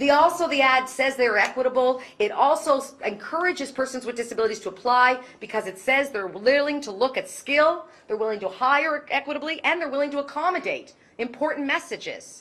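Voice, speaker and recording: Loud and fairly quick, a woman speaks with a high pitch. Her pitch varies in an ordinary way. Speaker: keynote speaker on inclusive employment. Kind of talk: conference keynote talk. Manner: animated.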